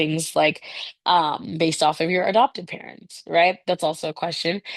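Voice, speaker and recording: A woman's fairly low voice, fairly even in intonation, dry and close with no echo over a quiet background. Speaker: teacher. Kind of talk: lecture. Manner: fast.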